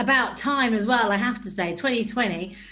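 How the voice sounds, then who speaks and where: She speaks in a British accent at a moderate pace. Her pitch varies in an ordinary way. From Britain. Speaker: entertainment interviewer. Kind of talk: interview.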